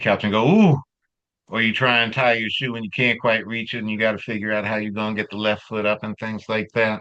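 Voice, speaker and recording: In an American accent, a man talks at a fairly quick pace, his fairly low voice carrying a bright, sharp tone. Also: quiet background. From Los Angeles, US West Coast. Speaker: continuing education presenter, therapist. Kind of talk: online workshop lecture. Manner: animated.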